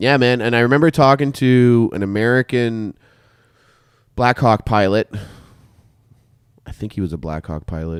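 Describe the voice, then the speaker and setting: With a Canadian accent, a man of medium pitch speaks at a moderate pace with lively intonation and long, frequent pauses, on a very clean recording with a silent background and a dry, close sound with no echo. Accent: stereotypically Canadian. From Canada. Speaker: podcast host, military veteran. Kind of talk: casual chat.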